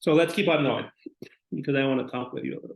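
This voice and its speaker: With a Spanish accent, a man speaks at a fairly high pitch with vocal fry and ordinary pitch variation. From Mexico. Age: 40s. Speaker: psychologist. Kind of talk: lecture. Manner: halting.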